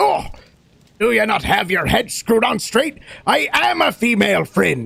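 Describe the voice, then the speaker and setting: A man puts on a character voice. It sits high in pitch and moves at a moderate pace. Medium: actual play. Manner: hearty, folksy.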